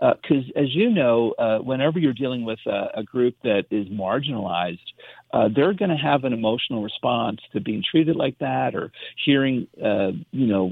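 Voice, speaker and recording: At a moderate pace, a normal speaking voice moves with lively intonation. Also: man. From US, immigrant family. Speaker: pediatrician. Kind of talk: radio interview.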